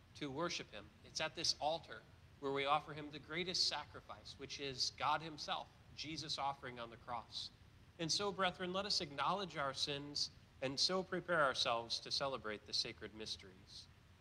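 A man with a bright, sharp tone speaks at a moderate pace and with ordinary pitch variation, over light background noise. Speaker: priest celebrating Mass. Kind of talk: liturgical address and prayer. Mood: calm, solemn. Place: church.

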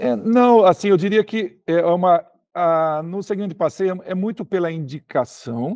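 A man's dark, mellow tone with lively intonation, dry sound with no echo, and a quiet background. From Brazil. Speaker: sales director. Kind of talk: interview. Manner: hesitant, many filler words. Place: office. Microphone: video call.

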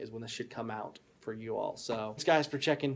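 Very fast speech from a man. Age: 20s. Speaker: youth pastor. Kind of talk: casual vlog talk to camera.

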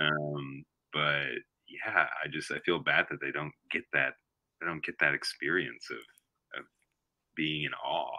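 A man with an American accent talks at a fairly slow pace, with long, frequent pauses. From Oklahoma. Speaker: musician. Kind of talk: interview. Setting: remote call.

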